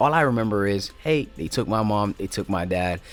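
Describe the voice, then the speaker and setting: Over music in the background, a man with a Haitian accent talks at a very fast pace, his very deep, low voice carrying lively intonation. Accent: Haitian Creole. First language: Haitian Creole. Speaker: YouTuber. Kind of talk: personal storytelling. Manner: casual, halting.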